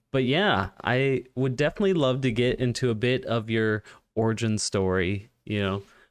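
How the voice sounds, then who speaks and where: Over a quiet background, a man in an ordinary speaking voice talks at a moderate pace and medium pitch, with ordinary pitch variation and very even loudness. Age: 20s. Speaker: podcast host. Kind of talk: casual chat.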